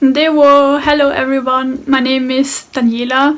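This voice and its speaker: A woman speaks with a German accent. Her pitch is high. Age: 20s. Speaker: guest sharing personal experience. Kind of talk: personal testimony. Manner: hesitant, with fillers.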